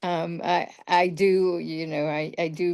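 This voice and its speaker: The background stays quiet. Her voice sits at a fairly low pitch. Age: 60s. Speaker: support group participant. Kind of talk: casual group sharing. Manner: halting.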